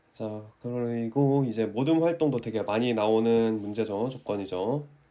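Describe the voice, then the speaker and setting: Dark and mellow in tone, a man's voice moves at a fairly slow speed. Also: medium pitch for a man, ordinary pitch variation. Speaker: math teacher who passed the teacher exam. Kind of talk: tutorial.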